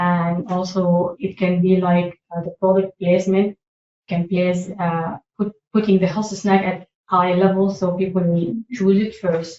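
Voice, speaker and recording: A woman's medium-pitched voice with a slight non-native accent and monotone, flat intonation. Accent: slight foreign. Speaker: public health staff presenter. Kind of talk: presentation. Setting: meeting room. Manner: halting, with frequent fillers.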